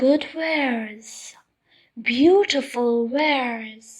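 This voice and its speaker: Using a put-on character voice, a woman talks at a high pitch and a very slow pace. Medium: read story. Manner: wheedling, deceitful.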